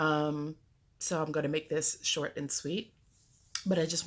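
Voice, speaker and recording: This woman speaks with a very deep, low pitch. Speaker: cross stitch vlogger. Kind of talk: casual vlog. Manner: hesitant, many fillers.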